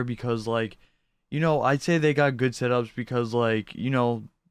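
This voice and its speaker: Against a quiet background, a man with a medium pitch speaks at a fairly quick pace, his intonation fairly even. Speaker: YouTuber reacting to setups. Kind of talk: casual reaction commentary. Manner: fast.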